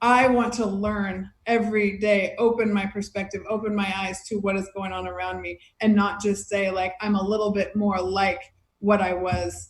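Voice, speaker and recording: A somewhat breathy woman's voice with an American accent and monotone, flat intonation. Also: medium pitch for a woman, moderate pace. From United States. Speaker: beach volleyball player and podcaster. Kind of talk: casual chat.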